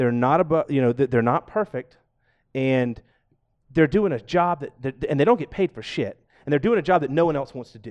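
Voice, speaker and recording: A man with an American accent speaks at a fairly quick pace and fairly high pitch in a plain, everyday voice, with lively intonation and big swings in loudness, the sound dry and close with no echo over a quiet background. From US South, Georgia. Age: 40s. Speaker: podcast guest, aspiring podcaster and powerlifter. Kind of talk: casual chat. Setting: studio, live-streamed podcast.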